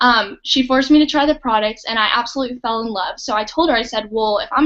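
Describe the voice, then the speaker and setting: A woman with an American accent, very fast pace and ordinary pitch variation. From Oklahoma. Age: 20s. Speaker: network marketing distributor. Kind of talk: testimony. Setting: online live stream.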